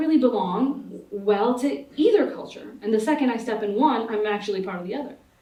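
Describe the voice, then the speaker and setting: A woman with an American accent talks at a fairly quick pace. Her loudness swings widely, and room echo is audible. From United States, Pakistani immigrant family. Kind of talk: panel discussion. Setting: conference stage with audience. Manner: halting, many fillers and restarts.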